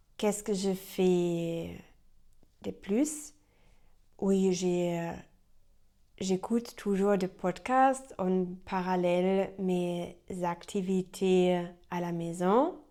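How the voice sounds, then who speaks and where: With a German accent, a woman speaks very slowly in a dark, mellow tone at a medium pitch, her loudness swinging widely and her pauses long and frequent. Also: ordinary pitch variation. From Germany. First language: German (speaking French). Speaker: French learner vlogger. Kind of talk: unscripted vlog monologue. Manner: halting, many hesitations.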